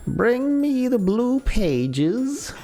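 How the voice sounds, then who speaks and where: A female-sounding put-on character voice, high in pitch. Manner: exaggerated, comically bad impression.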